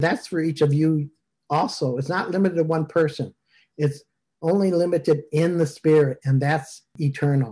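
Against a quiet background, a man with a fairly high pitch and a dark, mellow tone speaks at a moderate pace with fairly even intonation. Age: 60s. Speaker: minister leading online service. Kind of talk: casual chat. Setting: video call.

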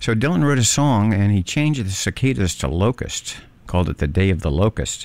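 This man has an unremarkable speaking voice pitched fairly low. He talks at a fairly quick pace. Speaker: radio host. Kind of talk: radio show hosting, casual music introductions. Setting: radio studio broadcast. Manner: relaxed, conversational.

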